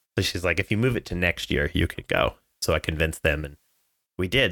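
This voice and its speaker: In a very clean recording with a silent background, a man talks at a fairly quick pace in a very deep, low pitch with ordinary pitch variation, his tone bright and sharp and the sound dry and close with no echo. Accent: Californian. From Southern California. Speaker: travel company sales director. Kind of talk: casual chat.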